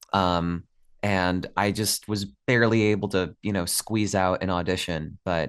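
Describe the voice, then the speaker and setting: With a General American accent, a man talks at a fairly slow pace in a very deep, low voice with fairly even intonation. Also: quiet background. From upstate New York. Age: 20s. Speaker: voice actor. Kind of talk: casual interview chat.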